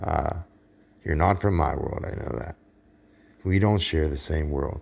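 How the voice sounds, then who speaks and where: A man with an American accent, very deep, low pitch, vocal fry, ordinary pitch variation, and a fairly slow pace. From Pittsburgh, US. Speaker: online preacher. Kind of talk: casual religious monologue. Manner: halting, repetitive.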